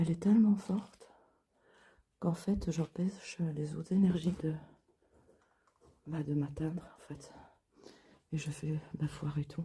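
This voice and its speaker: Quiet and somewhat breathy, a woman speaks at a fairly low pitch with a dark, mellow tone, fairly even intonation, a fairly slow pace and long, frequent pauses. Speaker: urban explorer and paranormal vlogger. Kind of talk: on-location vlog narration. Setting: outdoors / inside a ruined castle at night. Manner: quiet, lowered voice.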